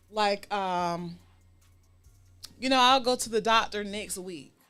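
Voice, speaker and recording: A woman is talking here. The pitch of her voice varies in an ordinary way. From US South, Savannah, Georgia. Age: 40s. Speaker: talk show host. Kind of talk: casual chat.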